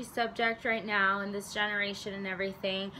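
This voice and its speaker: Fairly quick talk from a woman, with noticeable noise in the background. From Arizona, US. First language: Spanish. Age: 20s. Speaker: vlogger. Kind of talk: casual talk to camera.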